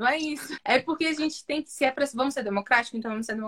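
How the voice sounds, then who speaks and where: A woman speaks at a very fast pace with lively intonation. Her tone is bright and sharp. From Brazil, Brasília outskirts (Ceilândia, Taguatinga). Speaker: comedian. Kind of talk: casual chat.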